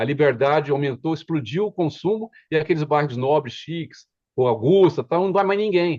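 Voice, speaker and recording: Fairly high in pitch, a man's dark, mellow voice has lively intonation. He talks at a moderate pace in a dry, close sound with no echo. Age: 60s. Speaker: retail trade union member. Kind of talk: casual discussion panel. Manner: halting, many fillers and restarts.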